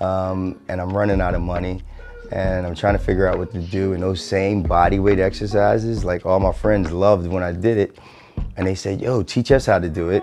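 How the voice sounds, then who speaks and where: Over music in the background, a man with an American accent speaks in a very deep, low voice with fairly even intonation. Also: fairly quick pace. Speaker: fitness coach. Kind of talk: personal story interview. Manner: frequent fillers (um, uh).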